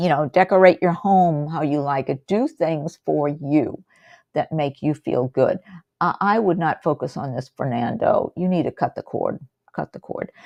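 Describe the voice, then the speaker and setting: At a moderate pace, a woman talks in a very deep, low voice with ordinary pitch variation, and the sound is dry and close with no echo. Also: quiet background. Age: 70s. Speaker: psychic tarot reader. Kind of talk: live-stream tarot reading with chat. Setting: live stream. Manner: casual, conversational with fillers.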